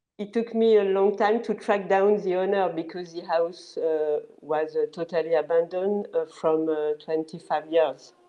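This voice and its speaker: Music plays in the background as a woman speaks with a French accent at a moderate pace. She uses hardly any pauses and ordinary pitch variation. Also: fairly low pitch for a woman. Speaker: location manager. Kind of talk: panel interview. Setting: video call. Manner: halting.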